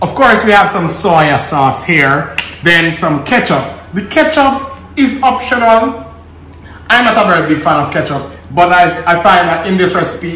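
A man at a fairly slow pace, with light background noise and audible room echo. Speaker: home cook host. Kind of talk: cooking tutorial. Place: kitchen. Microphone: camera far.

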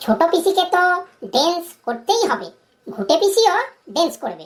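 A woman performs a cartoonish character voice that is squeaky and extremely high in pitch, swinging very widely in pitch at a moderate pace. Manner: curt, impatient.

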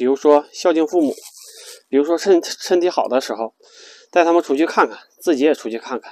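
In a dry sound with no echo and a quiet background, a man with a fairly high voice talks at a fairly quick pace with long, frequent pauses, big swings in loudness and ordinary pitch variation. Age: 40s. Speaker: RV travel vlogger. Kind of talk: casual vlog monologue. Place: car.

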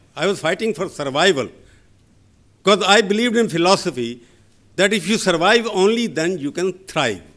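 Against a quiet background, a man speaks loudly at a moderate pace in a high pitch. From northern India. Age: 60s. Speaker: journalist. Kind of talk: lecture. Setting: stage with audience. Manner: sharp. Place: hall. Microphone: podium.

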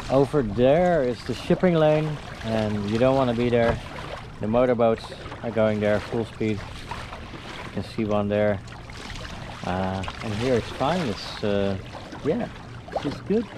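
A man talking at a fairly slow pace with long, frequent pauses and ordinary pitch variation, dry with no echo, over noticeable background noise. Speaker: solo canoe sailor vlogger. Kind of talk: casual vlog chat. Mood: relaxed but excited. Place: boat. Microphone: phone near.

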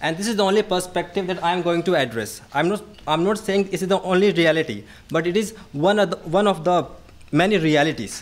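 Talking at a very fast pace, a man with a high pitch shows ordinary pitch variation. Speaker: young scholar of international relations; presenter. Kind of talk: academic presentation. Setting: podium with audience. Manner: halting, repeats words. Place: hall. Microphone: podium.

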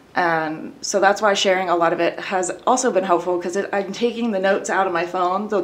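A woman's unremarkable speaking voice at a medium pitch and a fairly quick pace, with ordinary pitch variation. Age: 30s. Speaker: abuse survivor sharing her story. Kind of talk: personal testimony in interview.

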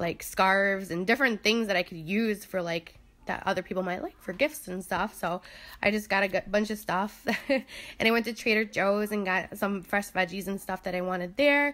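The woman talks at a moderate pace with ordinary pitch variation. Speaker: vlogger. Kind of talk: casual vlog chat. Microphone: phone near.

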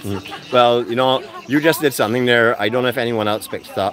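Over light background noise, a man talks at a very fast pace with ordinary pitch variation in a dry sound with no echo. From Barbados. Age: 50s. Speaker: travel vlogger. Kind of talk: live walkabout vlog with interviews. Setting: outdoors at a farmers market. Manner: animated. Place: market. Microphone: phone near.

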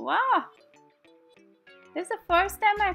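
Music plays in the background as a woman speaks in a playful tone. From Guyana. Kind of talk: comedic voiceover commentary on a makeup tutorial. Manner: casual, playful.

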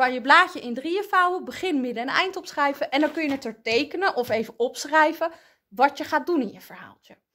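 A woman's high voice with a bright, sharp tone, fairly quick pace, ordinary pitch variation and big swings in loudness. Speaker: primary school teacher. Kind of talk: tutorial for children. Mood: warm, friendly, encouraging. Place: classroom. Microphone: phone near.

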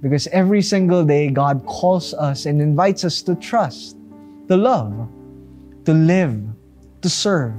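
A fairly high male voice at a very slow pace, lively in intonation, with faint music in the background. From Philippines. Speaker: pastor. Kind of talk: devotional talk. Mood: warm, smiling, earnest. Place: studio.

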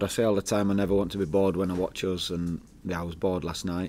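A man's very fast speech with a dark, mellow tone. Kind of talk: press conference answers. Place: meeting room.

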